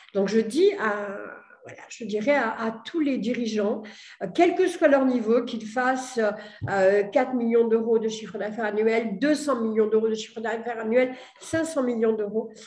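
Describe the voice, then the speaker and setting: Audible room echo surrounds a woman speaking at a fairly high pitch. Her pace is fairly slow and her loudness swings widely. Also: ordinary pitch variation. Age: 60s. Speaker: entrepreneur. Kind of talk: testimony. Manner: hesitant, many fillers.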